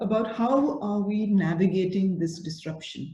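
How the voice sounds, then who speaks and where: Somewhat breathy speech at a fairly slow pace has a dark, mellow tone. Audible room echo is present. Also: woman. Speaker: school principal. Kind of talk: online masterclass for teachers. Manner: animated.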